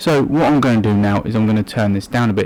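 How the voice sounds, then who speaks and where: A man speaks quietly at a fairly quick pace. His pitch varies in an ordinary way. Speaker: tech reviewer. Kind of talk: product review. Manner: speaking quietly.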